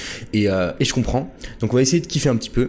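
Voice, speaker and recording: A man speaks at a very fast pace. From France. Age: 20s. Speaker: entrepreneur and online course creator. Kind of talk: podcast interview. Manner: casual, many filler words and repetitions.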